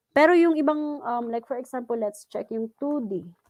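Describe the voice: A woman talks at a fairly quick pace with a high pitch. Her tone is slightly mellow, with ordinary pitch variation.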